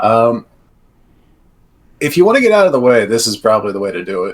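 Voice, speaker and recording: Putting on a raspy character voice, a man talks at a very fast pace with a medium pitch. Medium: actual play.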